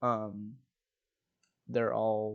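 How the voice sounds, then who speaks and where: A man mumbles. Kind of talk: gaming tutorial talk. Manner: mumbling.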